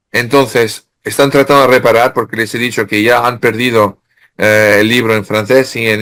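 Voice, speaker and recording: Bright and sharp in tone, the voice moves at a moderate pace with fairly even intonation on a very clean recording with a silent background. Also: man. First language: French (speaking Spanish). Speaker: author. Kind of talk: interview. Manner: halting.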